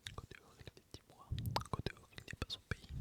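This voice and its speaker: Someone is whispering. There is noticeable background noise behind the voice. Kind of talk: inaudible whispered reading of a novel. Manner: whispered, soft.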